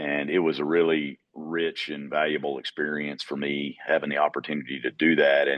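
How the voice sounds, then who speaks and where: In a Georgia accent, a man talks at a moderate pace with a very deep, low voice. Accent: Georgian Southern. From US South, Georgia. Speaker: utility executive. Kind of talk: podcast interview. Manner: halting, many fillers.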